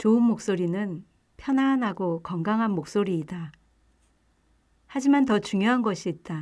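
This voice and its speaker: Pausing long and often, a woman at medium pitch speaks at a fairly slow pace with lively intonation. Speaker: book narrator. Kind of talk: audiobook reading.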